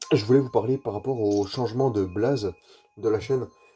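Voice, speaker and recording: Noticeable background noise sits under a man speaking at a moderate pace and medium pitch. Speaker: gaming YouTuber. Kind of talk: gameplay commentary. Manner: casual, hesitant with fillers.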